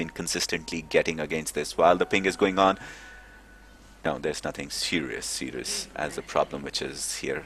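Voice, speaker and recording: This man's pitch is very deep and low. His voice carries vocal fry. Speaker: esports commentator. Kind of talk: live commentary. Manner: fast; animated.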